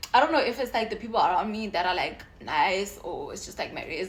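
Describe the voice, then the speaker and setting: Over noticeable background noise, a woman talks at a very fast pace in an animated tone, with medium pitch and ordinary pitch variation. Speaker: university student YouTuber. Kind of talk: casual vlog advice. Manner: loud.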